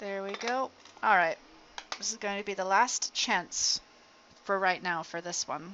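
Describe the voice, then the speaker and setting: A woman mumbles at a fairly slow pace, leaving long, frequent pauses. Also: medium pitch for a woman. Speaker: electronics hobbyist streamer. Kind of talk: live stream tutorial. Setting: outdoors. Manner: mumbling.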